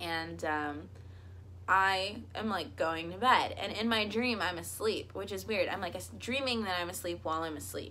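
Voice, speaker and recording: The speech moves at a moderate pace. Audible room echo surrounds the voice. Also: woman. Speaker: YouTuber. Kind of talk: storytelling vlog.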